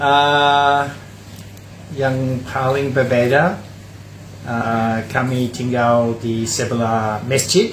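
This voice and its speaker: A man with an English accent, very slow and at a medium pitch, with fairly even intonation, long, frequent pauses and audible room echo. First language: English (speaking Indonesian). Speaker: retired lecturer. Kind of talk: casual interview. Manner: halting.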